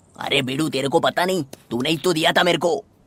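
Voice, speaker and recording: The speaker uses a put-on character voice at a middle pitch. The pace is very fast. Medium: fan dub. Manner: fast, chatty, dramatic.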